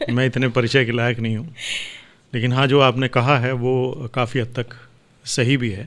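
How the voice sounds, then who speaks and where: The man's voice sits at a medium pitch with monotone, flat intonation. He keeps a moderate pace. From Hapur, western Uttar Pradesh, India. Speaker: voice-over artist. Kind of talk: interview.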